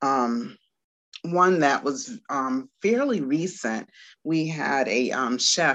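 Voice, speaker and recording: Against a quiet background, a woman with an American accent speaks at a very slow pace. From Washington, D.C. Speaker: Montessori teacher. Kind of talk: interview. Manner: hesitant, many fillers.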